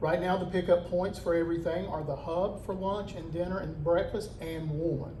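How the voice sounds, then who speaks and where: Loud and in a monotone, flat intonation, a man with a high pitch talks at a moderate pace, with audible room echo and noticeable background noise. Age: 50s. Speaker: public safety director. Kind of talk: community meeting talk. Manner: casual, folksy.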